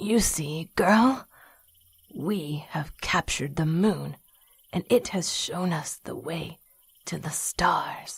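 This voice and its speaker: A put-on character voice at a middle pitch speaks at a very slow pace. Long pauses come often. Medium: audio drama. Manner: stern, instructive.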